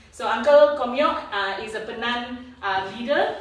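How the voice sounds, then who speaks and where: A woman's high-pitched voice amid audible room echo and noticeable background noise. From Sarawak, Malaysian Borneo (Kayan, Baram). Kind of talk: speech at public event. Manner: hesitant, many fillers.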